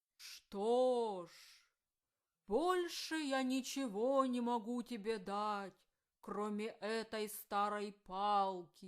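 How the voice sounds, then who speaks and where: Putting on a character voice, a woman talks very slowly at a fairly high pitch, with long, frequent pauses. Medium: read story.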